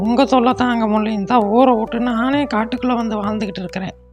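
A female-sounding voice performs a cartoonish character voice at a fairly high pitch. Clear music plays in the background. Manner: scolding, stern.

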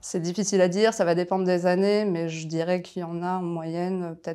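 Fairly quick and monotone, a woman's fairly low voice has a dark, mellow tone and flat intonation against a quiet background. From France, Paris region (Val-d'Oise); France. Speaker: lawyer. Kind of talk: interview. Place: office. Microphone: lapel.

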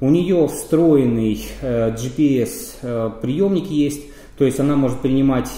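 Man with ordinary pitch variation and audible room echo. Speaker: radio equipment reviewer. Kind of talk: product review explanation. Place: office.

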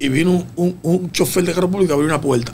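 Fairly high pitch from a man, at a fairly quick pace, with ordinary pitch variation and light background noise. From Dominican Republic. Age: 50s. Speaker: road safety expert; guest. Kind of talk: radio interview. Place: studio. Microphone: studio mic.

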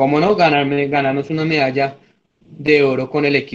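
This man talks in a normal speaking voice at a fairly quick pace. His pitch sits fairly high. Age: 20s. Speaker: student; candidate. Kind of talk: mock job interview. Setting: video call. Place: home room. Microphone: video call.

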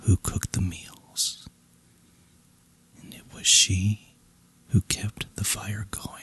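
A man whispers at a very slow pace in a dry, close sound with no echo, amid noticeable background noise. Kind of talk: bedtime story reading. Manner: whispered; soft, relaxing.

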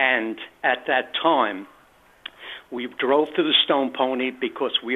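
Speaking at a fairly slow pace, a man with an American accent uses a medium pitch. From New Jersey. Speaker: radio caller. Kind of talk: call-in anecdote. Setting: phone call.

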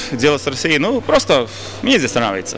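There is light background noise while a man talks. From Latvia, Riga; Latvia. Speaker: pop singer; interviewee. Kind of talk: interview; interview answer. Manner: halting. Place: hall. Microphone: handheld.

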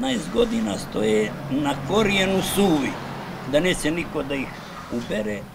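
Fairly slow speech from a man, with noticeable background noise. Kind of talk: interview answer. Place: street.

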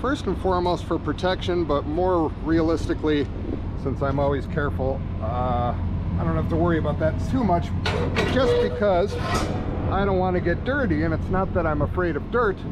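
The speech comes at a moderate pace against loud background noise. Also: man. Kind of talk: casual vlog tutorial. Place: open country. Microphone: phone near.

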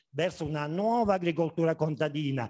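A man's fairly high voice with ordinary pitch variation against a quiet background. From Basilicata, southern Italy. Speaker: agronomist, conference speaker; conference speaker. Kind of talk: conference talk. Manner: hesitant, many fillers. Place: hall. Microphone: camera far.

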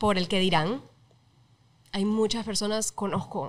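Speaking at a moderate pace, a woman with medium pitch has an unremarkable speaking voice and fairly even intonation. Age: 30s. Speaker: TV presenter; podcast guest. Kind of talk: casual chat. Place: studio. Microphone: studio mic.

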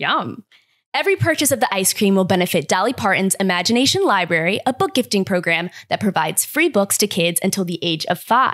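A woman keeps a moderate pace, and the background behind her is quiet. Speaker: podcast host. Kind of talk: scripted news roundup. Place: kitchen. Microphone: studio mic.

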